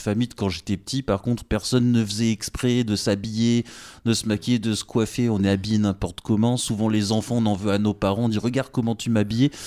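A man speaks very fast at a medium pitch, his tone dark and mellow. The recording is very clean with a silent background, and the sound is dry and close with no echo. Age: 30s. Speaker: podcast host. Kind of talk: interview. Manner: casual.

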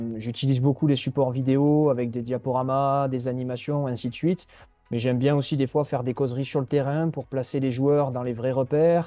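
A man talks at a fairly quick pace and medium pitch. His tone is dark and mellow, his intonation monotone and flat. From Landes, southwest France (Mont-de-Marsan). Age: 20s. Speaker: youth football coach. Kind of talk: interview. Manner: hesitant, word repetitions.

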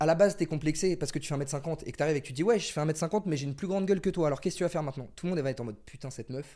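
A man's very fast speech with hardly any pauses, fairly high pitch, a dark, mellow tone and ordinary pitch variation, in a very clean recording with a silent background. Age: 20s. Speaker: musician and content creator. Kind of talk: casual chat. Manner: animated.

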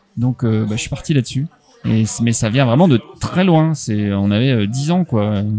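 A man with a medium pitch and lively intonation, speaking fairly slowly, with music in the background. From France, Haute-Marne (Chaumont). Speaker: comics publisher. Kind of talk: interview. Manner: hesitant, many fillers and repetitions.

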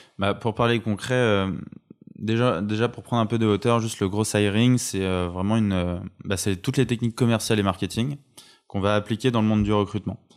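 With a normal speaking voice, a man talks at a fairly quick pace, using fairly even intonation and a fairly low pitch. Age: 20s. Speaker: recruitment entrepreneur. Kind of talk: interview conversation. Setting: home.

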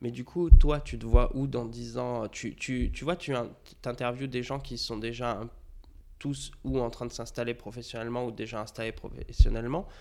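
A man at a moderate pace with big swings in loudness. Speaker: graphic designer. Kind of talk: casual chat. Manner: talkative, flowing.

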